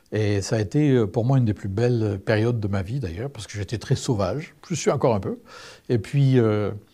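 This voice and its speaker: A man speaks at a fairly quick pace in a dark, mellow, somewhat breathy tone. The recording is very clean, with a silent background. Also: medium pitch for a man, ordinary pitch variation. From southern France. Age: 60s. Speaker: testimony speaker. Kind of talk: testimony. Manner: hesitant, many fillers.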